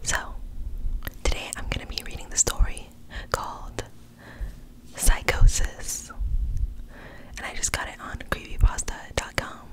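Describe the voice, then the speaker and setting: Someone whispers at a moderate pace, with long, frequent pauses. Noticeable background noise runs underneath. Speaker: ASMR creator. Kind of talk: casual talk to camera. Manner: whispered.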